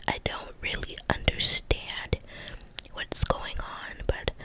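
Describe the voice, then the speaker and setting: A woman whispering at a very slow pace. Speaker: ASMR creator. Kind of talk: casual ASMR chat and role play. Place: home room. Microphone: studio mic.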